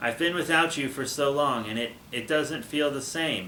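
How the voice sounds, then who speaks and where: A man's put-on character voice, fairly high in pitch, at a moderate pace over clear background noise. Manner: stammering, hesitant, awkward.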